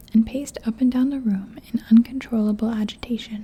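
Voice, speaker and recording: Soft-spoken delivery at a moderate pace comes through over noticeable background noise. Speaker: ASMR audiobook reader. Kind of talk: ASMR story reading.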